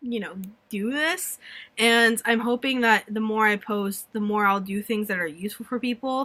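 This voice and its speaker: A woman with a fairly high voice speaks in a plain, everyday voice with ordinary pitch variation, in a very clean recording with a silent background. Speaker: vlogger. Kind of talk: casual chat. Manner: rambling fast.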